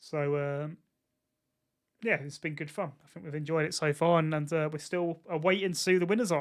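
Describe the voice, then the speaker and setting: A man races along at a very fast pace with an Essex accent. His pitch sits fairly high, and the recording is very clean with a silent background. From England, Essex. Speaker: football streamer. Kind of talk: live watchalong commentary. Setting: live stream. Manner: animated.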